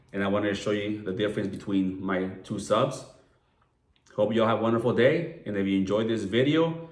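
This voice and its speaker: A man's fairly low voice with an American accent, ordinary pitch variation and a fairly quick pace, with audible room echo. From Southern California (San Diego). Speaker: watch enthusiast vlogger. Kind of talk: casual video review. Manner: casual, filler-heavy.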